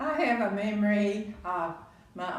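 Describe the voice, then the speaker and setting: Recorded with noticeable background noise and audible room echo, a woman speaks with a Texan accent. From Texas, Waco. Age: 90s. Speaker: grandparent interviewee. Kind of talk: family interview. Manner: halting.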